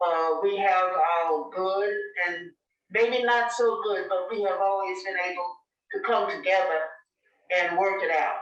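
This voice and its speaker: A woman with an American accent speaks at a fairly slow pace and medium pitch, with fairly even intonation. Her long, frequent pauses carry audible room echo. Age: 80s+. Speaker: church elder. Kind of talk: oral history interview. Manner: halting.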